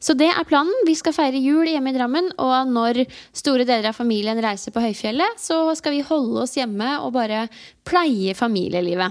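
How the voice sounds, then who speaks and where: A woman's high-pitched voice, moving at a moderate pace, carries lively intonation. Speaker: podcast co-host. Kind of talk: casual chat. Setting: at a kitchen table.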